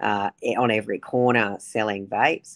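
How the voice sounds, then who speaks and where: An Australian-accented woman with a very deep, low pitch and fairly even intonation, against a quiet background. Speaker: politician. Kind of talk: interview. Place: home room. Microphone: video call.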